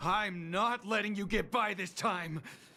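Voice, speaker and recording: A man's put-on character voice, raspy, raised and projected, high in pitch with ordinary pitch variation, at a fairly slow pace. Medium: video game. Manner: firm but apologetic.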